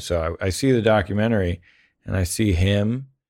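A man speaks fairly slowly with ordinary pitch variation on a very clean recording with a silent background. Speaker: podcast host, actor. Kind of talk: casual chat.

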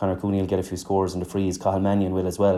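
Talking at a very fast pace with a Clare accent, a man has a fairly low pitch and a dark, mellow tone. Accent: Irish, Clare. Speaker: former hurler and pundit. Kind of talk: casual sports analysis chat.

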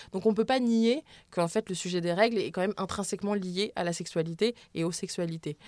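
At a fairly quick pace with ordinary pitch variation, the voice comes through as a dry, close sound with no echo on a very clean recording with a silent background. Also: woman, medium pitch for a woman. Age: 20s. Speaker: sex educator and author. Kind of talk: interview. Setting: studio. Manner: hesitant, many fillers.

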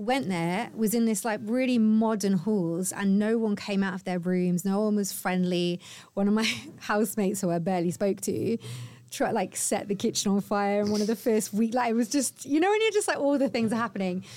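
The voice has a dark, mellow tone and ordinary pitch variation at a fairly quick pace. The recording is very clean, with a silent background. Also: woman, medium pitch for a woman. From England, Cotswolds. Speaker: podcast host. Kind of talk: casual chat.

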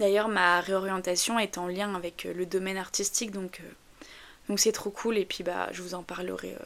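A woman with a slight northern French accent talks at a medium pitch. Her pace is fairly slow and her intonation monotone and flat. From northern France. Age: 20s. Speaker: podcaster. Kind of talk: casual monologue. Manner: hesitant, many fillers.

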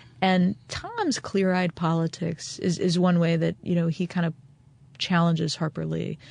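In an American accent, the speaker keeps a monotone, flat intonation and very even loudness at a moderate pace. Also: woman, fairly low pitch for a woman. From Maryland, Eastern Shore. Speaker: author. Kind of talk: interview. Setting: in person in Mississippi.

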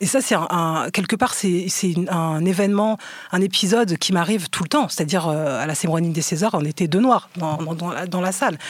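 A woman at a fairly quick pace, fairly low pitch, ordinary pitch variation. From France, Seine-Saint-Denis (Aulnay-sous-Bois). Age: 40s. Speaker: documentary filmmaker. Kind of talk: casual interview discussion. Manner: halting, repeats words.

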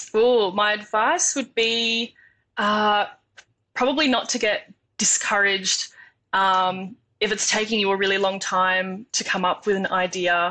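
In an Australian accent, a woman speaks at a fairly slow pace with a medium pitch and a bright, sharp tone. Her intonation is fairly even and her loudness very even. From Tasmania, Australia. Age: 20s. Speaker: engineering student. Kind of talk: interview.

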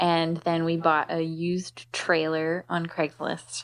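Over a quiet background, a woman with an unremarkable speaking voice talks at a fairly slow pace and a fairly low pitch. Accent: American. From US Northeast, Philadelphia. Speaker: cargo bike shop owner. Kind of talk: interview conversation.

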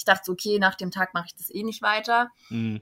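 A woman's tone is bright and sharp. Her pitch sits at medium. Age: 20s. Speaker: model and student teacher. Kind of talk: casual chat.

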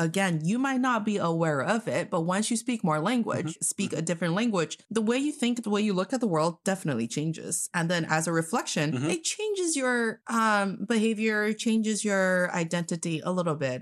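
In an American accent, a woman talks at a fairly quick pace with hardly any pauses and lively intonation. Her pitch is medium, with a quiet background. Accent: American-sounding English. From northeast China. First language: Mandarin Chinese. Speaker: podcast co-host. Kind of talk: casual chat.

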